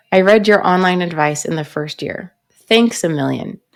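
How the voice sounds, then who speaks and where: A woman talks in an ordinary speaking voice at a fairly low pitch. Her intonation is lively and her pace is moderate. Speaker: pharmacist. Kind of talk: reading a viewer's written story aloud.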